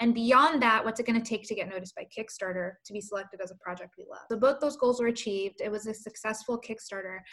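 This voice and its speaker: A woman talks at a very fast pace in a fairly high pitch with an American accent. Her pitch varies in an ordinary way while her loudness swings widely. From US, Colombian American family. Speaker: children's book author-illustrator and publisher. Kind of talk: interview conversation. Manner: animated.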